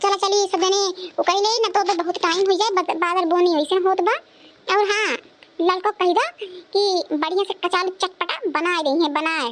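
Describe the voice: A woman puts on a cartoonish character voice with an extremely high pitch and ordinary pitch variation. She keeps a moderate pace and very even loudness.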